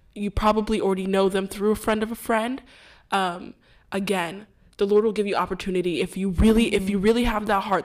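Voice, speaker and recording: A woman talks at a fairly quick pace with an American accent and fairly even intonation, in an ordinary speaking voice. The recording is very clean, with a silent background. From Houston, Texas. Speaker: podcast host. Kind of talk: casual faith discussion.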